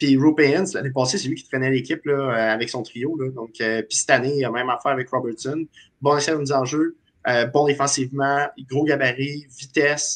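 This man has an ordinary speaking voice with fairly high pitch. He talks at a moderate pace with fairly even intonation. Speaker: hockey panelist. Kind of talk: casual sports panel chat.

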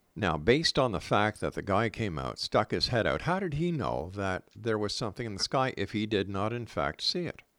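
On a very clean recording with a silent background, a man with a fairly low pitch and vocal fry talks at a moderate pace, making very wide pitch swings and hardly any pauses. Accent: Canadian. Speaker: radio host. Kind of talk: radio interview. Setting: radio studio.

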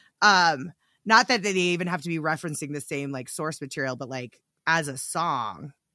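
A woman's very deep, low-pitched voice at a moderate pace, with lively intonation and big swings in loudness, in a very clean recording with a silent background. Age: 40s. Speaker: podcast host. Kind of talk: casual chat.

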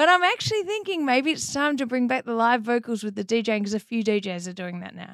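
In an Australian accent, a woman talks at a very fast pace with hardly any pauses. Her fairly high voice swings widely in pitch and loudness. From Melbourne, Australia. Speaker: DJ and artist, former pro tennis player. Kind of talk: casual interview chat.

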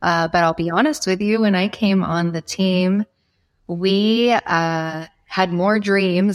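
A woman speaks in a plain, everyday voice at a medium pitch and a fairly slow pace, with ordinary pitch variation. The sound is dry and close, with no echo. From Nebraska. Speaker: foundation executive director. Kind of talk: interview.

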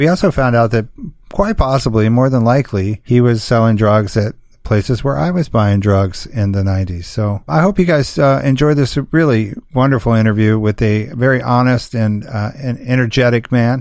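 A man speaks with an American accent at a moderate pace, pitched medium with ordinary pitch variation. It is a plain, everyday voice. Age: 50s. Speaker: podcast host. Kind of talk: interview.

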